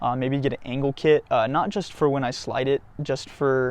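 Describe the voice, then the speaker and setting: Man's voice, medium pitch, fairly even intonation. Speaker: car enthusiast YouTuber. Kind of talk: casual vlog monologue. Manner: fast, rambling; casual, many fillers.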